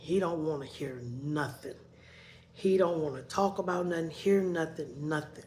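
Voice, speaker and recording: There is audible room echo as a woman with a very deep, low pitch speaks at a moderate pace with ordinary pitch variation. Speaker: vlogger. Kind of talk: personal storytelling. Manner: loud, voice rises when talking; repetitive, conversational.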